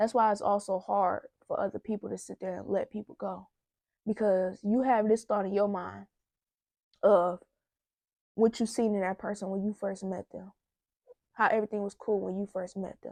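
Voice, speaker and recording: A woman speaks at a moderate pace and medium pitch in a dark, mellow tone with monotone, flat intonation, big swings in loudness, and long, frequent pauses. The sound is dry and close with no echo, over a quiet background. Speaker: vlogger giving relationship advice. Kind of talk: casual vlog monologue. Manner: stuttering at times.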